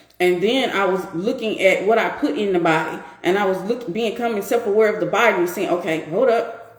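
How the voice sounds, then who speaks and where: Over noticeable background noise, a woman with a medium pitch talks at a fairly quick pace with hardly any pauses, an animated tone and ordinary pitch variation. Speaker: women's empowerment coach hosting a live stream. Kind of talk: live stream talk answering viewers.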